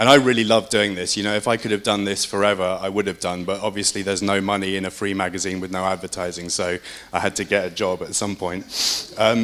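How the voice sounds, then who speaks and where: A man with an English accent speaks very fast at a fairly low pitch, hardly pausing. His intonation is flat and monotone, with noticeable background noise. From England. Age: 30s. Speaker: independent publisher. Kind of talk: conference talk.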